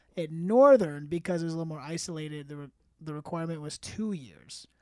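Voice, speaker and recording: In a very clean recording with a silent background, a man talks in an ordinary speaking voice, fairly high in pitch, with ordinary pitch variation. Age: 30s. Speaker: storytelling guest, comedian's friend. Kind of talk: storytelling in casual chat.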